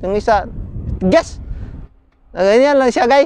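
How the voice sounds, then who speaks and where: A man is speaking. The sound is dry, with no echo. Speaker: overseas worker vlogger. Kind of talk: casual vlog chat. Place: open country. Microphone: lapel.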